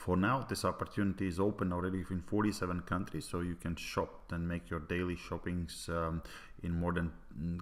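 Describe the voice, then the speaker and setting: With a non-native accent, a man talks at a fairly quick pace, his very deep, low pitch held to fairly even intonation. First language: Latvian. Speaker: network marketing presenter. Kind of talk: sales pitch. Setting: online presentation. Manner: halting, many fillers.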